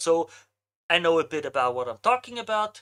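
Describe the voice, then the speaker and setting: Woman with an Austrian accent, fairly low pitch, bright and sharp tone, moderate pace, on a very clean recording with a silent background. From Austria, Vienna. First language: German. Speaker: marketing agency owner, streamer. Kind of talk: live stream casual talk. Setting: live stream.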